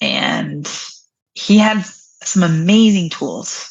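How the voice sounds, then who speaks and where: Woman's voice with vocal fry. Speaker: brain injury coach. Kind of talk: interview.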